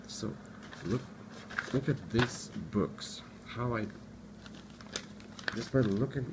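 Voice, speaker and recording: With noticeable background noise behind it, the voice speaks in a non-native accent at a very slow pace with ordinary pitch variation. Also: man. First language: not English. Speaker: student giving study tips. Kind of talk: tutorial. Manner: halting.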